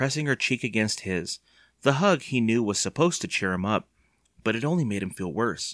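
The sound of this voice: An unforced reading voice with lively intonation and a quiet background.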